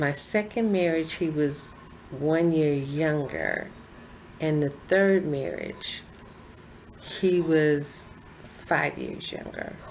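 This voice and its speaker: A woman speaks very slowly with a very deep, low pitch and ordinary pitch variation. Her long, frequent pauses sit in audible room echo. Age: 60s. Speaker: lifestyle vlogger. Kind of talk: personal testimony to camera.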